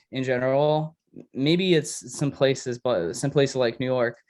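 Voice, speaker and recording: A man with a slight Polish accent speaks at a moderate pace in a fairly high pitch, his intonation fairly even. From Poland. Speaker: music producer and DJ. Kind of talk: casual chat.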